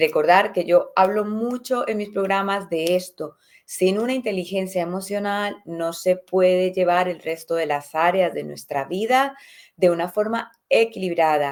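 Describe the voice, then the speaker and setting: Woman, a normal speaking voice, medium pitch with ordinary pitch variation, fairly slow pace, very clean recording with a silent background. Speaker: podcast host, personal development coach. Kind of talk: motivational talk.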